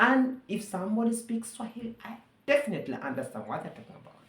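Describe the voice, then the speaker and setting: A woman with a Ugandan accent and vocal fry, at a moderate pace, with audible room echo. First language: Luganda. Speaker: vlogger. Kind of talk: monologue commentary.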